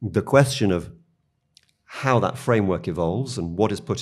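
In a very clean recording with a silent background, a man speaks with a British accent. His voice is very deep and low, with lively intonation. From United Kingdom. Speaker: media company policy executive. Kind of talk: interview.

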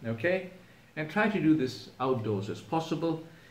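Audible room echo surrounds a man's somewhat breathy voice. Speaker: presenter. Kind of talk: tutorial. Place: home room. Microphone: camera far.

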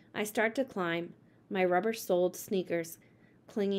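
The clip features an unforced reading voice. It is simply someone reading.

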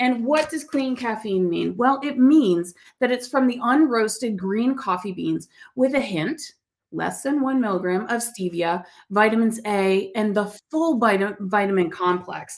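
A woman's fairly high voice with lively intonation at a fairly slow pace. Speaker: talk show host. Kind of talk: interview. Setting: studio. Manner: warm, effusive. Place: studio.

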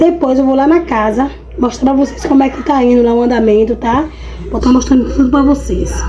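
Noticeable background noise runs behind a woman speaking at a fairly quick pace. Her voice is high, with fairly even intonation. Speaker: home vlogger. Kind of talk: casual vlog chat. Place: home room. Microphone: phone near.

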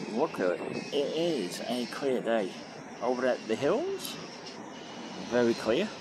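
Fairly slow speech amid noticeable background noise. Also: man. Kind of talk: casual ride-along commentary. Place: street.

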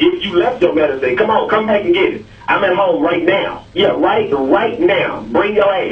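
At a moderate pace with hardly any pauses, a man speaks over light background noise. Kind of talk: heated phone conversation. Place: home room.

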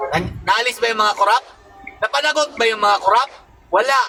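A man speaks in a raised, projected voice. There is noticeable background noise. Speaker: political commentator vlogger. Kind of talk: angry political rant. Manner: scolding, sarcastic, taunting the young protesters; loud, emphatic, mocking with repeated 'di ba?' tags.

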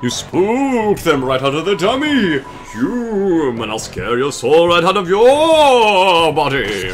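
Over clear background noise, a man in a put-on character voice speaks at a fairly slow pace, pitched high with very wide swings. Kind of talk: comic overacting. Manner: theatrical, menacing, ranting.

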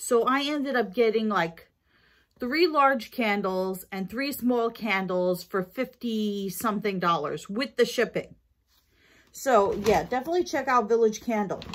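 A woman speaks at a fairly slow pace with lively intonation. There is light background noise. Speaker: vlogger. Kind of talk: casual haul vlog chat. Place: kitchen. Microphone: phone near.

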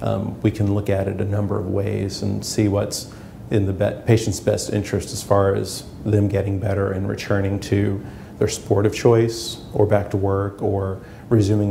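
A man talks at a moderate pace in a fairly low pitch with monotone, flat intonation, light background noise behind him. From New York City. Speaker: chiropractor. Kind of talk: promotional self-introduction. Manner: halting, many fillers. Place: office. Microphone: lapel.

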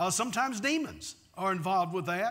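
A man's raised, projected voice, bright and sharp in tone, with ordinary pitch variation and a quiet background. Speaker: pastor. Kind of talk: sermon. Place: church. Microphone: lapel.

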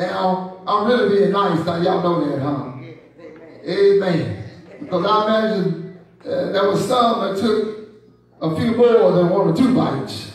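A man speaks fairly slowly in a high voice with ordinary pitch variation. Strong echo fills the room. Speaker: bishop and preacher. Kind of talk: sermon. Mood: playful, teasing. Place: church.

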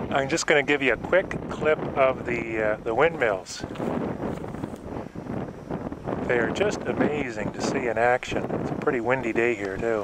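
With loud background noise but a dry sound lacking echo, a man speaks at a moderate pace, using ordinary pitch variation and long, frequent pauses. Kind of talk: property tour narration. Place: open country. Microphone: phone near.

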